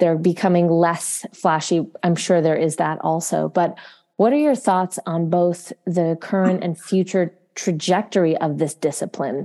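A woman speaks at a fairly slow pace with hardly any pauses, her fairly low voice dark and mellow in tone, with ordinary pitch variation. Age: 30s. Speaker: yoga teacher and podcast co-host. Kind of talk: scripted narration; casual chat.

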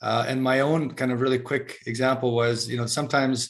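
Here a man speaks at a moderate pace and medium pitch. His intonation stays fairly even. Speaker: podcast host. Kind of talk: casual interview conversation. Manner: hesitant, many fillers.

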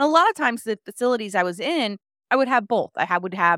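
In a normal speaking voice, a woman talks at a fairly quick pace with lively intonation, on a very clean recording with a silent background and a dry, close sound with no echo. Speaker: health coach. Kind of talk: casual interview chat.

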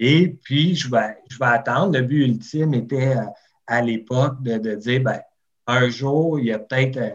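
A man's medium-pitched voice in a Quebec accent, at a fairly slow pace with ordinary pitch variation. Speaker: barbecue enthusiast and Instagrammer. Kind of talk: interview.

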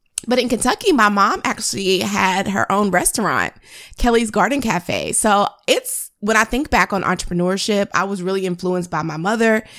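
Recorded very cleanly against a silent background, a woman speaks at medium pitch and a moderate pace. Her tone is animated, with ordinary pitch variation. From US, moved around; born in North Carolina. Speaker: photographer and business coach, podcast host. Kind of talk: solo podcast monologue.

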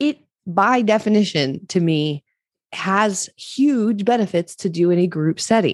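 This woman has an unremarkable speaking voice, with an American accent, medium pitch, lively intonation, very even loudness and a fairly slow pace. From Maryland Eastern Shore, US. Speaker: online fitness coach. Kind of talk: casual interview.

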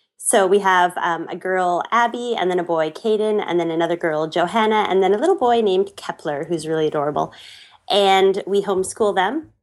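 With a Canadian accent, a woman talks at a fairly quick pace in a normal speaking voice, her pitch medium and its variation ordinary. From western Canada. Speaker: blogger and traveler. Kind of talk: casual interview chat.

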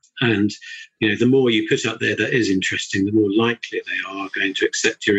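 In a southern English accent, a man speaks at a fairly quick pace. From Surrey, southern England. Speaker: chartered building surveyor. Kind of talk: casual interview chat.

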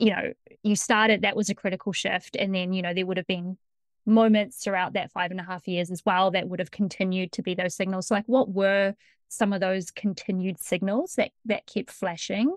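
In an ordinary speaking voice, a woman at medium pitch talks at a moderate pace with fairly even intonation, recorded dry and close with no echo over a quiet background. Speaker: podcast host and coach. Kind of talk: interview, casual chat.

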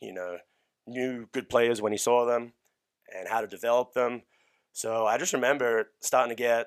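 A man at medium pitch talks at a moderate pace with long, frequent pauses on a very clean recording with a silent background. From Australia. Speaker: strength coach. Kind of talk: casual chat. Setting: studio.

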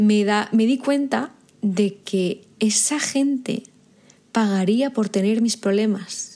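A woman speaks very slowly in a fairly high, somewhat breathy voice with a dark, mellow and intense tone. Her pitch varies in an ordinary way. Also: very even loudness. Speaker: podcast host and business coach. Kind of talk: motivational monologue.

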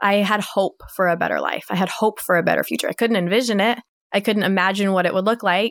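Very fast speech in a West Coast US accent comes out monotone and flat, at a very even loudness. The sound is dry and close, with no echo. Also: woman, medium pitch for a woman, very clean recording, silent background. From Washington State, US. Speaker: divorced mother sharing her story. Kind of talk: testimony.

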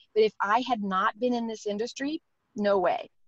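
With lively intonation, a woman speaks at a moderate pace in a fairly high voice, dry and close with no echo. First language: not English. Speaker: network marketing entrepreneur. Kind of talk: interview. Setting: in a car on a call.

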